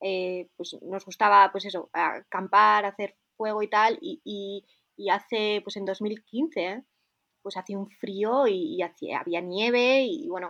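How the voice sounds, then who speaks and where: With a Spanish accent, a woman speaks at a fairly slow pace in a medium pitch with ordinary pitch variation and big swings in loudness, the sound dry and close with no echo over a quiet background. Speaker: snowboarder. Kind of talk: interview.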